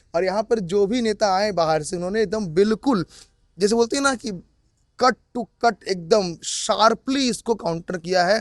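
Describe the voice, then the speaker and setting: Animated delivery at a moderate pace with ordinary pitch variation, in a dry, close sound with no echo. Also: man, high pitch for a man. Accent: Bengali. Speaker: political commentator. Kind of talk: casual chat.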